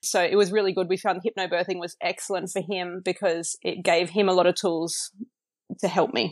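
The voice, with an Australian accent, moves at a fairly quick pace in a monotone, flat intonation, the sound dry and close with no echo. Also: woman, medium pitch for a woman. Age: 30s. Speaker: new mother sharing birth story. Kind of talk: casual interview. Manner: hesitant, lots of fillers.

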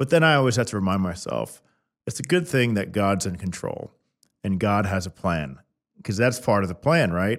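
Speaking at a moderate pace with an American accent, a man with a fairly low voice swings very widely in pitch on a very clean recording with a silent background. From Kansas City. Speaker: podcast host. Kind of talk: interview.

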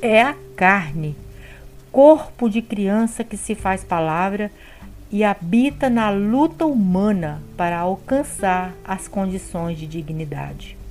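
A woman's medium-pitched voice with lively intonation at a very slow pace. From Brazil, Espírito Santo. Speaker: bible study educator. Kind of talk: scripted narration.

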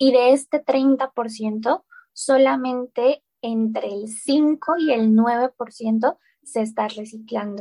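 Very slow and fairly even in intonation, a woman speaks in a high pitch with a dark, mellow tone, the sound dry and close with no echo. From Colombia. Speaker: recycling app founder. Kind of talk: interview. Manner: frequent hesitations and repetitions.

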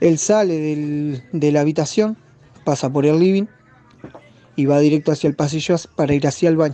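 A man with a Uruguayan accent, fairly high pitch, fairly even intonation and a moderate pace, with long, frequent pauses and music in the background. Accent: Uruguayan Rioplatense Spanish. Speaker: listener. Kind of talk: testimony. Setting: recorded voice message.

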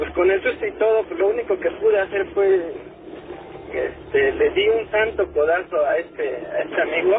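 At a moderate pace, a man speaks while noticeable background noise is present. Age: 30s. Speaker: caller. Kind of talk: storytelling. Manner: halting.

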